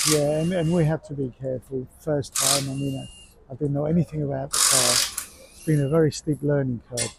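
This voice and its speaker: The speaker talks at a fairly quick pace in a flat, monotone way, with big swings in loudness. Noticeable background noise sits behind the voice. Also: man, fairly high pitch for a man. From Cyprus. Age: 60s. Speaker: amateur rally driver. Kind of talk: casual interview.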